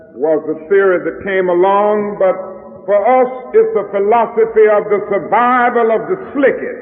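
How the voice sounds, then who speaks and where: Noticeable background noise sits behind a man who speaks at a fairly slow pace in a high pitch with ordinary pitch variation. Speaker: preacher. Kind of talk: sermon delivered to a congregation.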